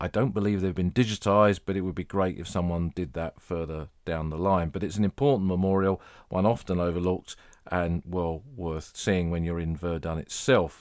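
A man's very deep, low pitch with ordinary variation at a moderate pace, in a very clean recording with a silent background. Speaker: podcast host. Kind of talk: scripted-style narration with casual tone, history podcast.

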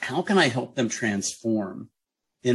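This is a normal speaking voice at a fairly slow pace. The background is quiet. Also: man. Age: 50s. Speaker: teaching artist. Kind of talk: radio interview.

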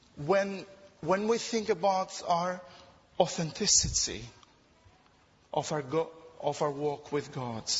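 Very slow speech with a non-native accent, long and frequent pauses, and lively intonation. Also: man, high pitch for a man. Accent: foreign-accented English. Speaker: preacher. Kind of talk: sermon. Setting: church.

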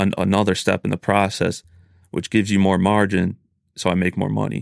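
A man with a very deep, low pitch, vocal fry, and monotone, flat intonation at a fairly quick pace, in a dry, close sound with no echo on a very clean recording with a silent background. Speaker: small business owner. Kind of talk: casual chat.

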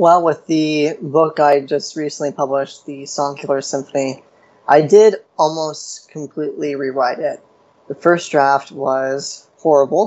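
This man has a plain, everyday voice, fairly high in pitch for a man, moving at a fairly slow pace with fairly even intonation. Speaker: writer and panelist. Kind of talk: panel discussion.

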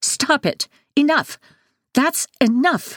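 A put-on character voice, high-pitched and shrill.

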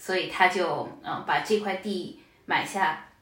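Fairly even intonation comes through alongside noticeable background noise and audible room echo. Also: woman. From Shanghai, China. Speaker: data professional. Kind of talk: casual interview.

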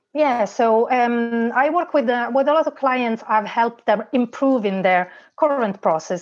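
A woman speaks with an Italian accent. Her pace is moderate. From Italy. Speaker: online business manager. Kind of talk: interview.

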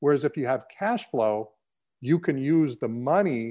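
Fairly high in pitch, a man speaks in a normal speaking voice at a fairly slow pace. His pitch varies in an ordinary way, and the background is quiet. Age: 50s. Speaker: real estate company founder. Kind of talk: interview.

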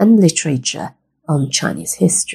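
A woman with a very deep, low pitch, vocal fry and a gentle, warm tone speaks at a fairly slow pace with very wide pitch swings. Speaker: storyteller. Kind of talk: children's story narration. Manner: warm, clear and measured, explaining to kids; formal, gentle and instructive.

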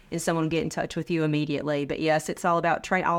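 At a very fast pace, a woman with an American accent talks in a very clean recording with a silent background. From North Carolina (Sanford). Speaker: manufacturing training executive. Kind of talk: interview.

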